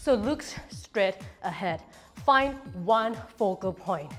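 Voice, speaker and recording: A woman speaks while faint music plays in the background. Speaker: fitness instructor. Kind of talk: workout instruction. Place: studio.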